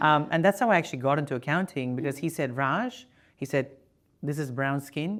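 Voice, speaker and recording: Very fast speech with a non-native accent and ordinary pitch variation. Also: man. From Indian family background. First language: not English. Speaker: podcast host. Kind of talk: interview chat. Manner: hesitant, many fillers.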